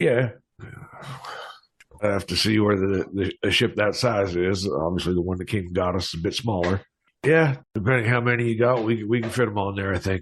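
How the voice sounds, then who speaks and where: Raspy and fairly low-pitched, a man delivers a put-on character voice at a fairly quick pace. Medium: actual play. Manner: hesitant, folksy.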